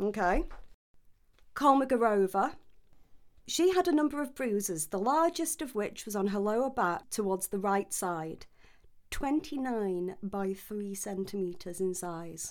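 A woman with a British accent speaks at a fairly slow pace and medium pitch with very wide pitch swings, on a very clean recording with a silent background. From UK. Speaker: podcast host and history researcher. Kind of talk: casual chat with read-out research notes.

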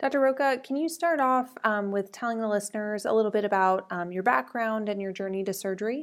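With a normal speaking voice, a woman talks in a fairly high pitch with lively intonation and hardly any pauses, on a very clean recording with a silent background. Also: fairly quick pace. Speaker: podcast host. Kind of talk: interview intro, scripted.

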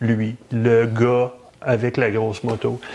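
Against noticeable background noise, a man speaks very slowly at a medium pitch. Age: 50s. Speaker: motorcycle podcast co-host. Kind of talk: casual chat. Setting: studio.

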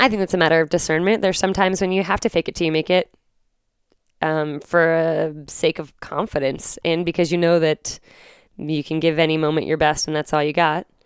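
An ordinary speaking voice with an American accent goes at a fairly quick pace with fairly even intonation, recorded dry and close with no echo, very clean, over a silent background. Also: woman, fairly low pitch for a woman. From Virginia. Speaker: poet and educator. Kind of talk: interview conversation.

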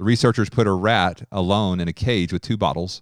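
In a normal speaking voice, a man talks at a fairly low pitch with lively intonation and a fairly quick pace. The recording is very clean, with a silent background. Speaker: teacher, speaker at event. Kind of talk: sermon-style teaching.

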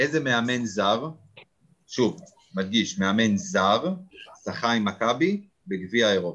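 Talking at a very slow pace with long, frequent pauses, a man uses a medium pitch, very even loudness and lively intonation. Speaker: fan podcast host. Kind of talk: casual chat. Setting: video call.

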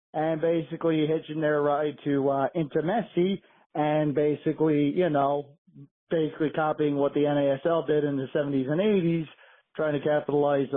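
A man speaks in an ordinary speaking voice at a moderate pace. His pitch is fairly high, and his intonation stays fairly even. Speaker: caller. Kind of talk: voicemail rant. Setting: phone voicemail.

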